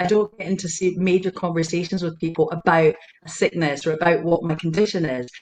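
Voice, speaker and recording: Fairly even in intonation, a woman speaks at a fairly low pitch, with noticeable background noise. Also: fairly quick pace. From Scotland. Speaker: intuitive healer and empowerment coach. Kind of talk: interview answer. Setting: video call.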